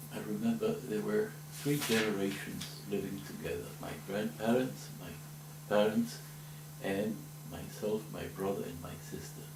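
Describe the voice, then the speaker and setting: A man's fairly low voice at a fairly slow pace, lively in intonation, with big swings in loudness, audible room echo and noticeable background noise. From Spain, Catalonia (Barcelona). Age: 70s. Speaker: older man telling his life story. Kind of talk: oral history interview.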